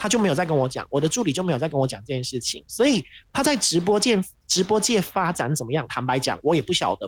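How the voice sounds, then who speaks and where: A man with a high voice talks very fast, his intonation lively. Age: 20s. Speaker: wedding host and livestreamer, former radio presenter. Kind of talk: casual chat.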